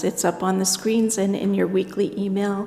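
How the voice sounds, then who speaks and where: Noticeable background noise and audible room echo surround the recording. A woman speaks at a medium pitch. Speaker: pastoral care associate. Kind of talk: church announcements. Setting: church service.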